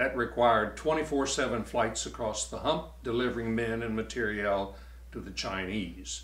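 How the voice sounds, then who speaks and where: Audible room echo carries a man's voice with an American accent at a moderate pace. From US South, Virginia. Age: 80s+. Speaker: war veteran. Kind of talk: testimony.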